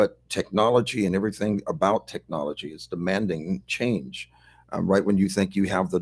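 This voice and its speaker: The man has an unremarkable speaking voice, fairly low in pitch with ordinary pitch variation, and he keeps a moderate pace. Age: 60s. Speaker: pastor. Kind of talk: casual chat.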